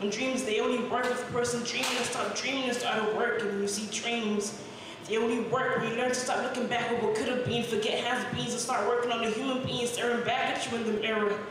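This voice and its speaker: A woman's high voice, very fast with hardly any pauses and a monotone, flat intonation, amid strong room echo and noticeable background noise. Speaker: spoken word poet. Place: cafe.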